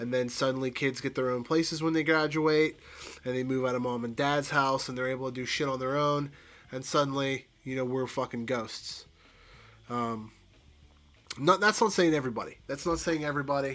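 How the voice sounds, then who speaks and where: Talking at a fairly quick pace, a man with an American accent keeps his medium pitch on a fairly even intonation. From Pittsburgh, Pennsylvania. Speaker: podcast host. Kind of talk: casual monologue.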